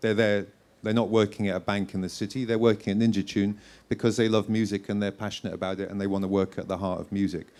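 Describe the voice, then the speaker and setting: Very fast and flat in monotone, a man with a fairly low pitch speaks on a very clean recording with a silent background. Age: 60s. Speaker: record label founder. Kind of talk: onstage interview.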